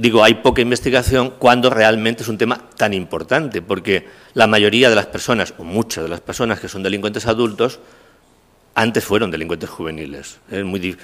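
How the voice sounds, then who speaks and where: In an unremarkable speaking voice, a man talks at a fairly quick pace and a fairly low pitch, with ordinary pitch variation and big swings in loudness. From Castilla-La Mancha, Spain. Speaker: criminology professor. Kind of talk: lecture. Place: hall. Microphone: podium.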